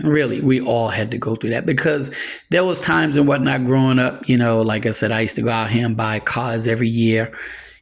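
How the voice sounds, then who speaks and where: A man at a medium pitch, talking at a fairly quick pace amid audible room echo. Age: 60s. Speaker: preacher. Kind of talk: sermon. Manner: casual, conversational.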